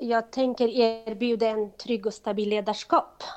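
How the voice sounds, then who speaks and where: Monotone, flat intonation over a quiet background. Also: woman. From Kurdistan. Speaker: organization chair. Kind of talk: interview. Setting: phone call.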